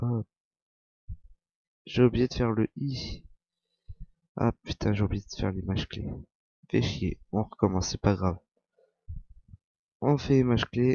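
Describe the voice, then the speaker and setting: Pausing often and at length, a man speaks at a medium pitch in a dark, mellow tone with ordinary pitch variation. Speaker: software tutorial youtuber. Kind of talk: screen-recorded tutorial. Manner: casual, halting.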